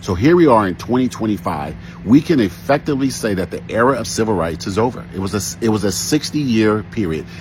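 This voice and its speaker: A man with an American accent speaks at a very fast pace, with hardly any pauses and lively intonation. His pitch is fairly low, and noticeable background noise can be heard. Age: 60s. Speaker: social commentator. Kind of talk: commentary monologue.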